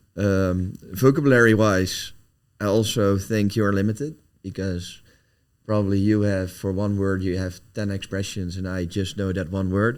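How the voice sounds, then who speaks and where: With a Dutch accent, a man speaks at a moderate pace and a fairly low pitch, his intonation fairly even, on a very clean recording with a silent background. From Netherlands. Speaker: company founder and CEO. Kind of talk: podcast interview. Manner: halting, searching for words.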